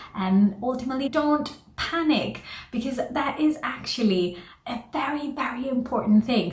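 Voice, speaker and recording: Speaking with a non-native accent, a woman keeps an animated tone at a fairly slow pace, with noticeable background noise and audible room echo. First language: not English. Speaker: career advice vlogger. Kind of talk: tutorial; casual storytelling. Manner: animated, moves hands a lot.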